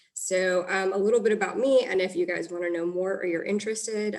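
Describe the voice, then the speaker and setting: A woman with an American accent talks at a fairly quick pace in a medium pitch. Noticeable background noise runs behind her. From New York, Long Island. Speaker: licensed professional counselor. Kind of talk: virtual workshop presentation. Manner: fast.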